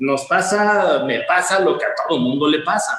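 A man talks at a fairly slow pace. His pitch swings very widely. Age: 50s. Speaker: insurance advisor and coach. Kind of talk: interview. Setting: live online session.

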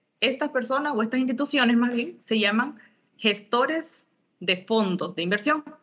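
At a moderate pace, the speaker uses lively intonation and very even loudness. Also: woman, high pitch for a woman. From Bolivia and Honduras. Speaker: impact investment fund expert. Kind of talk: interview.

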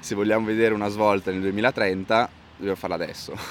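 Noticeable background noise runs under this recording. A man with a fairly low pitch speaks with fairly even intonation. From Bolzano, South Tyrol, Italy. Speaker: climate activist and musician. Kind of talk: interview. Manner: halting.

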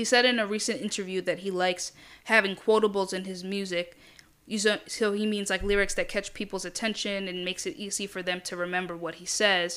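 Set against a very clean recording with a silent background, the voice has a bright, sharp tone and a moderate pace. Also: woman. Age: 20s. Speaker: podcast host. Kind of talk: casual solo commentary. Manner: casual, with filler words.

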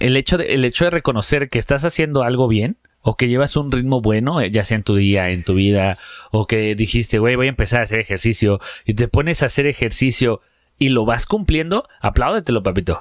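Lively intonation and very even loudness mark this man's medium-pitched voice. He talks fairly quickly, in a dry, close sound with no echo. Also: very clean recording, silent background. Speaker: comedy podcast co-host. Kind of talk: casual chat.

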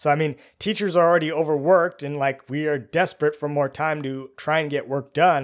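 A man with an American accent, fairly high pitch, ordinary pitch variation and a very fast pace, on a very clean recording with a silent background. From United States, suburban. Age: 30s. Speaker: middle school teacher. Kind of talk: casual monologue.

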